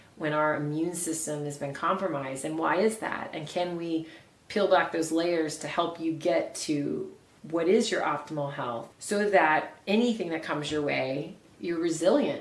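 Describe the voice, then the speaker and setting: A woman with an American accent talks at a moderate pace in a fairly low pitch, with noticeable background noise. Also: ordinary pitch variation. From Oklahoma. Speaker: bioenergetic health practitioner. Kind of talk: interview answer.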